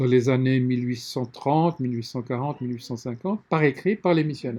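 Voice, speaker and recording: A man speaks at a fairly quick pace with a dark, mellow tone. His pitch is medium, with ordinary variation. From Lesotho and South Africa. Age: 60s. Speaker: publisher. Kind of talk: interview.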